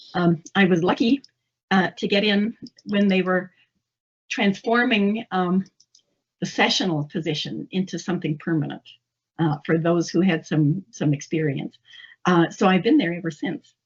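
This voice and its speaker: Pausing long and often, a woman speaks at medium pitch in a somewhat breathy voice with ordinary pitch variation. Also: moderate pace. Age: 70s. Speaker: English instructor. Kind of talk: interview.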